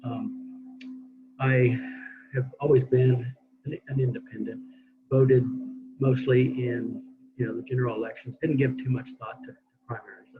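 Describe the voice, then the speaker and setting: At a moderate pace, a man speaks with long, frequent pauses and big swings in loudness. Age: 60s. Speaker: open primaries advocate. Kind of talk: panel presentation.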